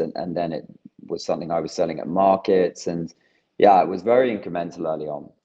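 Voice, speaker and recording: A man speaks with a British accent and a very deep, low pitch. His intonation stays fairly even. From UK. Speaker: plant-based cheese company founder. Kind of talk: interview.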